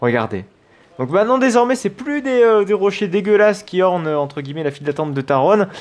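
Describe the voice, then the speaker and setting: A man talks at a fairly quick pace. His high voice swings very widely in pitch. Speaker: gaming youtuber. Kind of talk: let's play commentary. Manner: fast; hesitant, many fillers.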